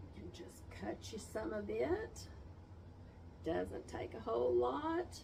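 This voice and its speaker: Speech comes at a very slow pace with long, frequent pauses and big swings in loudness, over noticeable background noise and audible room echo. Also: woman. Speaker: wound care nurse. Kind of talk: tutorial.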